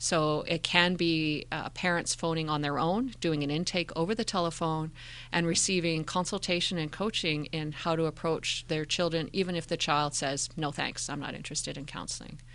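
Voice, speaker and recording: A woman with a Canadian accent speaks in a plain, everyday voice at a fairly low pitch and a moderate pace. Her intonation is fairly even, with hardly any pauses, against a quiet background. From Calgary, Canada (adolescence in Indonesia). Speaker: school district mental health manager. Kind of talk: interview.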